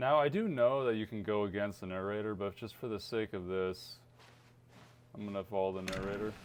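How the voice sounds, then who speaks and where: This man has a normal speaking voice with fairly low pitch. He talks at a fairly quick pace with fairly even intonation. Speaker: gaming youtuber. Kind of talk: let's play commentary.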